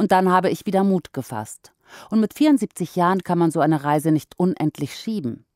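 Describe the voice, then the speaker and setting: Fairly quick speech from a woman with fairly low pitch and very wide pitch swings, in a dry, close sound with no echo. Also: very clean recording, silent background. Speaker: podcast narrator. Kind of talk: news article read aloud.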